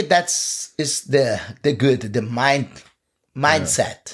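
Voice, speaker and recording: A man speaks with a Portuguese accent. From Brazil. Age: 50s. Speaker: jiu-jitsu coach. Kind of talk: casual chat. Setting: studio.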